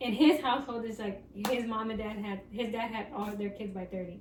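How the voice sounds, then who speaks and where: A woman talks at a fairly quick pace and a fairly high pitch with fairly even intonation, over noticeable background noise and audible room echo. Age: 20s. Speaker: podcast host. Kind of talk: casual chat. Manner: casual, filler-heavy.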